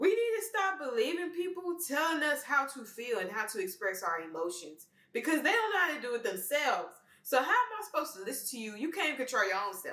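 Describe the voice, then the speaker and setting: A raised, projected voice with a bright, sharp tone and a Memphis accent races along at a very fast pace. Its pitch swings very widely, and room echo is audible. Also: woman, high pitch for a woman. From Memphis, Tennessee, US South. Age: 20s. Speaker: vlogger. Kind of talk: personal monologue.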